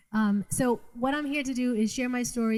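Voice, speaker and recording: A woman with a Boston accent, a dark, mellow tone, a somewhat breathy quality, fairly even intonation and a fairly quick pace. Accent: Boston North Shore. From Massachusetts North Shore, Revere/Saugus. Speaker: trafficking survivor and speaker. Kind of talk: testimony. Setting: live event with audience.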